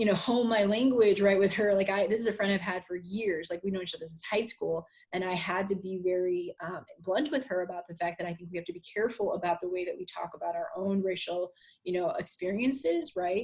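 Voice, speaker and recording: The voice is somewhat breathy. It moves at a fairly quick pace. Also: woman, medium pitch for a woman, ordinary pitch variation. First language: not English. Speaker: high school teacher. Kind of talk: podcast conversation. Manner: halting, many fillers and repetitions.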